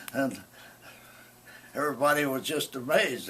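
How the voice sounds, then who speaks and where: Against noticeable background noise, a man speaks at a fairly slow pace in a fairly high pitch. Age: 80s+. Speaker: storyteller. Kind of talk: oral history interview. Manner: halting.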